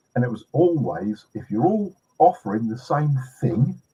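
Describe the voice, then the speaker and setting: A man with a British accent talks at a moderate pace and medium pitch, his dark, mellow tone somewhat breathy and his pitch swinging very widely. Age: 70s. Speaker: pest control trainer. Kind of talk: podcast interview.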